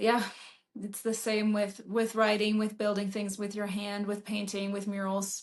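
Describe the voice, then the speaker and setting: A woman with a German accent talks at a medium pitch and a fairly slow pace, her intonation flat and monotone. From Germany, Berlin. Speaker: author and painter. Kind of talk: interview.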